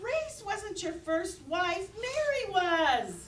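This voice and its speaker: In a squeaky, put-on character voice at an extremely high pitch, a woman speaks at a very slow pace with very wide pitch swings over clear background noise. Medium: audio drama. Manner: tart, insistent.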